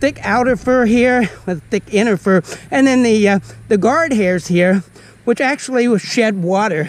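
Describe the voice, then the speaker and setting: Pitched high for a man, his lively intonation moves at a fairly slow pace in a dry sound with no echo. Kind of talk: educational nature talk. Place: forest.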